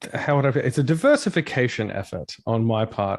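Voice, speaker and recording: A man with an Australian accent talks very fast at a medium pitch. His intonation is lively, and the background is quiet. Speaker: rock vocalist and streamer. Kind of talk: casual interview chat.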